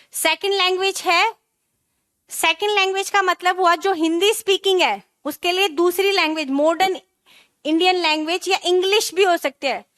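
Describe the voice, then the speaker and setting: A woman speaks at an extremely high pitch with a bright, sharp tone and fairly even intonation. Her loudness stays very even, and the sound is dry and close with no echo. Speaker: teacher. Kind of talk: online class lecture. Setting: live online class.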